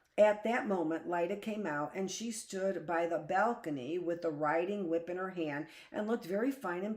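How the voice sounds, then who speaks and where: Speaking at a moderate pace with ordinary pitch variation, a woman with a fairly low voice is heard over noticeable background noise. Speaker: teacher. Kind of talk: audiobook reading of short fiction.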